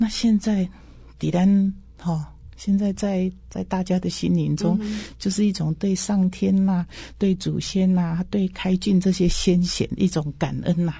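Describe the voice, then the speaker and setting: A woman talks fairly slowly on a very clean recording with a silent background. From Taiwan, Changhua County. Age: 60s. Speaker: irrigation agency director. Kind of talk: interview.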